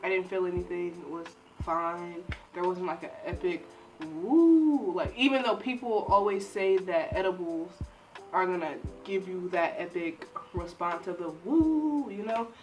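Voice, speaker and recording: A woman with an American accent speaks fairly slowly at a medium pitch with lively intonation while music plays in the background. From Michigan, Detroit. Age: 20s. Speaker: YouTuber, psychology student. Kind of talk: casual storytelling to camera. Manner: animated.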